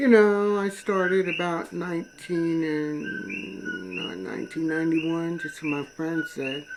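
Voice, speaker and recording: The speech runs on with hardly any pauses over noticeable background noise. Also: fairly slow pace. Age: 60s. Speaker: political video blogger. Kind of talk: personal testimony monologue. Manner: casual, halting with fillers.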